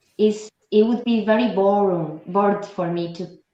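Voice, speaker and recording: A woman with a non-native accent and a dark, mellow tone, at a fairly slow pace. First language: not English. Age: young. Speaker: actress and former nurse. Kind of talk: interview.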